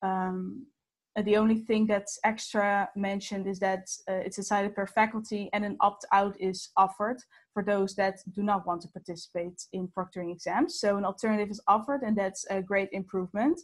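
A woman with a medium-pitched, somewhat breathy voice talks at a fairly quick pace. Her intonation stays fairly even, and the background is quiet. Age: 19. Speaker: presenter. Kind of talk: webinar presentation. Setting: video call. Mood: positive, informative. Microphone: video call.

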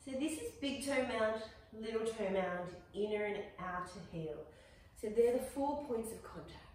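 Strong room echo fills the space as a woman speaks with lively intonation and long, frequent pauses. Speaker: yoga instructor. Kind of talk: guided yoga class, calm instructional cueing. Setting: online video, recorded class. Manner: soothing, slow, gentle, encouraging; measured, with warm upbeat asides. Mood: calm, soothing guidance. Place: home room. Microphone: camera far.

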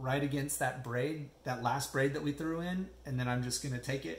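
Audible room echo surrounds a man speaking at a moderate pace. His voice is somewhat breathy. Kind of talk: tutorial. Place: home room. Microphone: phone near.

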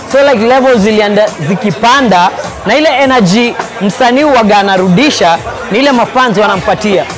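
Music plays in the background as a man speaks at a moderate pace. His pitch is high, with ordinary pitch variation. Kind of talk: interview answer. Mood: excited, grateful after show. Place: cafe. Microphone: lapel.

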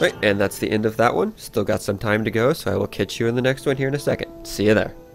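Music plays in the background. The speaker's pitch varies in an ordinary way. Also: man. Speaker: let's play commentator. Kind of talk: casual gameplay commentary.

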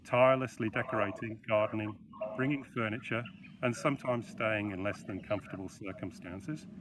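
Noticeable background noise sits under a dry sound with no echo. A man talks at a fairly quick pace with ordinary pitch variation. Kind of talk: eulogy read at a funeral. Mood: solemn, composed. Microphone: video call.

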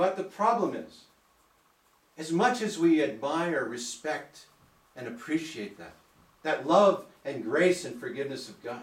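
A man speaks at a fairly slow pace in a fairly high pitch, with very wide pitch swings. Long, frequent pauses and audible room echo mark the clip. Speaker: preacher. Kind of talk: church sermon, preaching to a congregation. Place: church. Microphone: camera far.

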